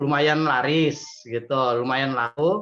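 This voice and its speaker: Against a quiet background, a man talks in a plain, everyday voice at a fairly slow pace with ordinary pitch variation. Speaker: participant, small food business owner. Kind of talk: question in online meeting. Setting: video call. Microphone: video call.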